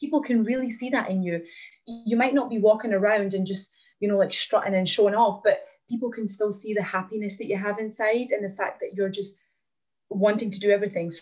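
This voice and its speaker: Music plays behind a woman with a Glaswegian accent who speaks at a fairly quick pace, with fairly high pitch and fairly even intonation. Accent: Glaswegian Scottish. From Glasgow, Scotland (born in Latvia, moved at nine). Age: 20s. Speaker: podcast guest sharing fitness story. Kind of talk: casual interview chat, personal story.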